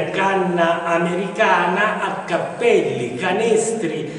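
Speaking at a very slow pace, a man with a high-pitched voice comes through strong room echo and light background noise. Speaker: TV show host. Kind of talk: presenter introduction. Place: workshop.

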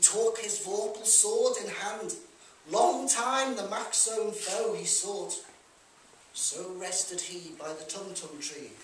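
A man with a Liverpool accent speaks at a high pitch. The recording has light background noise and audible room echo. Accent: Liverpool (Scouse). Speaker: performer. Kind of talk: poetry reading. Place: hall. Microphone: camera far.

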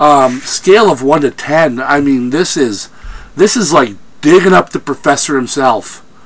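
Noticeable background noise surrounds a man speaking at a fairly slow pace. His pitch is fairly high and his intonation lively. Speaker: film reviewer. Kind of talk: movie review rant. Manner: animated; halting.

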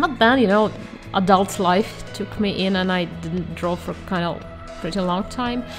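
Music plays in the background as a woman speaks with a non-native accent. She keeps a moderate pace and a medium pitch. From Russia. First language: not English. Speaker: self-taught artist. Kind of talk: unscripted voiceover for a painting video.

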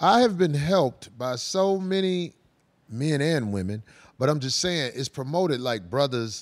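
With a quiet background, a man talks at a fairly slow pace, his pitch swinging very widely. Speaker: show host. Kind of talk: podcast discussion commentary. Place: studio. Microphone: handheld.

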